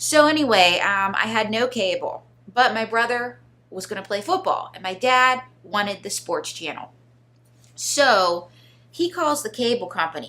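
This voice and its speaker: Using a Pittsburgh accent, a woman with a fairly high pitch and a bright, sharp tone speaks at a moderate pace with very wide pitch swings and big swings in loudness. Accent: Pittsburgh (yinzer). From Pittsburgh area, Pennsylvania. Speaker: ventriloquist. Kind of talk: interview, comedic storytelling. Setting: studio.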